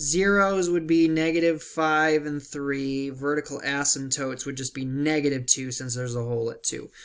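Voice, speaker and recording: The recording is very clean, with a silent background. A man with a plain, everyday voice speaks at a fairly high pitch and moderate pace. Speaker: math teacher. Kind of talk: tutorial.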